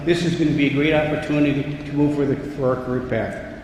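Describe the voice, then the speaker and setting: Through noticeable background noise and audible room echo, a man with an American accent speaks at a fairly quick pace. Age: 70s. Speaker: local official speaking at school opening. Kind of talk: ceremonial speech. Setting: school ceremony with audience. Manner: animated.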